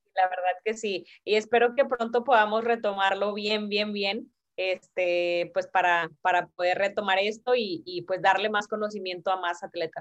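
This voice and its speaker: With a normal speaking voice at medium pitch, a woman speaks fairly slowly with hardly any pauses and fairly even intonation while her loudness swings widely. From Mexico, Tamaulipas. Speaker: sports agency founder. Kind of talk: interview.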